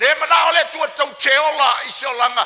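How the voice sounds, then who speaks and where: Over noticeable background noise, a man with an extremely high pitch and ordinary pitch variation talks at a fairly quick pace. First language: Samoan. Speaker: pastor. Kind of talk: sermon.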